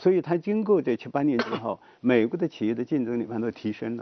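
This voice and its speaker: A man talks in a normal speaking voice at a medium pitch. He keeps a fairly quick pace. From rural China. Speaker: economics professor. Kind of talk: talk show discussion.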